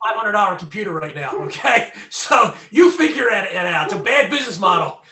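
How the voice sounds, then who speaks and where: In a Philadelphia accent, a man with a high pitch speaks at a fairly quick pace in a raised, projected voice. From Southwest Philadelphia, US. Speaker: former recording engineer and freedom activist. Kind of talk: interview.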